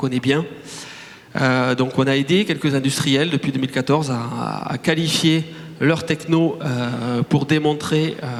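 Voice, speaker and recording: Over noticeable background noise, a man with a Toulouse accent speaks at a fairly slow pace, his fairly high pitch kept fairly even. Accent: Toulouse (southern French). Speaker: startup director. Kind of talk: conference talk. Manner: hesitant, many fillers and repetitions.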